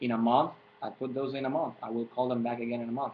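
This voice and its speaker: He is a man speaking with a Puerto Rican accent. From Puerto Rico. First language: Spanish. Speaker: fitness coach. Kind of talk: tutorial. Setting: webcam recording. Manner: halting.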